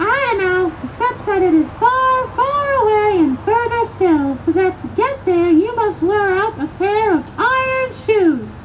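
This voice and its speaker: In a squeaky, cartoonish character voice pitched extremely high, the speaker goes at a fairly slow pace against clear background noise. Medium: puppet show. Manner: gentle, patient.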